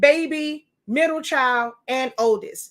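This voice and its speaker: Loud speech in a New York accent, with lively intonation. The recording is very clean, the background silent. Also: woman. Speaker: sublimation printing teacher and livestreamer. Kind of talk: live stream Q&A. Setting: live video.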